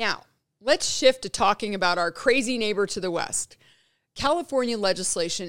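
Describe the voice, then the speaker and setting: On a very clean recording with a silent background, a woman with an American accent uses lively intonation in a dry, close sound with no echo. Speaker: podcast host. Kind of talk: political commentary monologue then interview.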